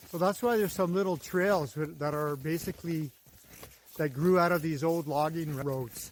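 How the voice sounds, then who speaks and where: At a moderate pace, a man's fairly high pitch rises and falls with ordinary variation. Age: 60s. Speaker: landscape and garden designer, vlogger. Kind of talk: casual walking vlog monologue. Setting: outdoors walking on a snowy forest path. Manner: relaxed, reflective, with filler words.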